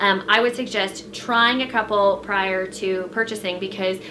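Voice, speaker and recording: A woman speaks at a fairly slow pace with fairly even intonation. Noticeable background noise is present. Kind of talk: casual vlog chat. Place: home room. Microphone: camera far.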